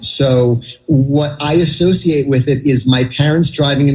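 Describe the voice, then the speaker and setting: The man's pitch is fairly high. Music can be heard behind him. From New York City (Manhattan). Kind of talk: radio interview answer. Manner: conversational, chatty with filler words.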